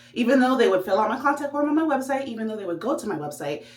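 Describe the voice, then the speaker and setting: A woman sounds animated, her pitch swinging very widely, with audible room echo and noticeable background noise. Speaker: vlogger. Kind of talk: vlog monologue. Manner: fast.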